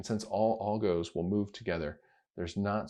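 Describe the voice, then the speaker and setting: A man talks at a fairly quick pace in a fairly low, dark, mellow voice with ordinary pitch variation over a quiet background. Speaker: crypto video creator. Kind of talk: screen-recorded tutorial.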